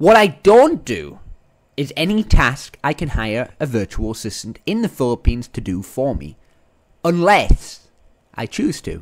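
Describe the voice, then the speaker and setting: A man talks at a fairly slow pace in a fairly high pitch. His pitch swings very widely and his loudness rises and falls sharply. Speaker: podcast host and entrepreneur. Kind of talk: podcast monologue. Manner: animated.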